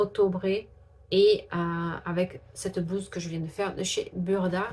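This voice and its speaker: Somewhat breathy and fairly low-pitched, a woman speaks with monotone, flat intonation. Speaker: sewing vlogger. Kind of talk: casual vlog.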